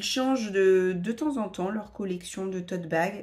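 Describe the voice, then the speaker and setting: A woman speaks in a somewhat breathy voice with ordinary pitch variation. The recording is very clean with a silent background. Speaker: vlogger. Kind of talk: casual vlog talk. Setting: at home, filming herself. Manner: hesitant, many fillers.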